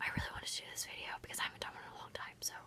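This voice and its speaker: Noticeable background noise fills the clip. A woman talks over it. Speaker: vlogger. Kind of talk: casual vlog monologue. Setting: at home late at night, close to camera. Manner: kept quiet, not loud.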